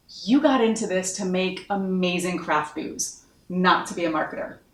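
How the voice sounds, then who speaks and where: Audible room echo surrounds a woman speaking at a medium pitch in an animated tone. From US Northeast, Massachusetts. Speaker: marketing consultant. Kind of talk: online course introduction.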